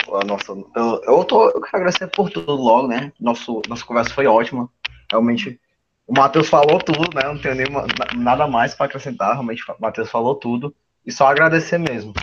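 This man has a plain, everyday voice with a fairly high pitch. He moves at a fairly quick pace with lively intonation. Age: young. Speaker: student podcast host. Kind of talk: interview.

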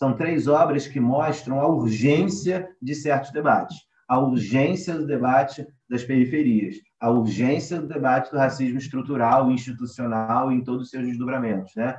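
Medium pitch, ordinary pitch variation and a moderate pace in a man's somewhat breathy voice. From Rio de Janeiro. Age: 20s. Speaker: literature researcher. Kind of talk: panel discussion. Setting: remote recording.

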